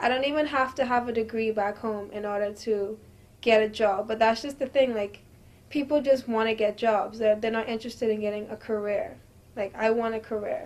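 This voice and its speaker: At a fairly quick pace, a woman talks with fairly even intonation. Her pitch is fairly high. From Bahamas. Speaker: university student, immigrant. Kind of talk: interview. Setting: on camera. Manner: casual, many fillers.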